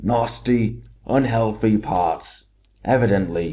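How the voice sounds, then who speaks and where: Using a put-on character voice, a man talks fairly slowly at a fairly low pitch. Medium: read story. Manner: coarse, blunt.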